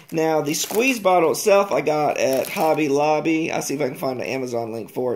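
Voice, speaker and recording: A man's fairly quick delivery with ordinary pitch variation over light background noise. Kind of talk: tutorial. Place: workshop. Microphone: phone near.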